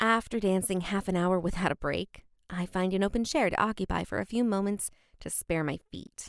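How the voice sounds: The voice is a natural reading voice. It reads the text aloud.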